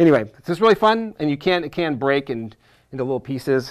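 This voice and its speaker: A man's fairly quick speech with lively intonation against a quiet background. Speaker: teacher presenter. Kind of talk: tutorial. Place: studio.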